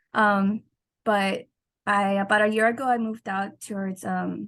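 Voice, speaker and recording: A woman with an American accent speaks in a monotone, flat intonation that is somewhat breathy. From Southern California (El Monte). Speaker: student. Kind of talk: class discussion. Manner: halting.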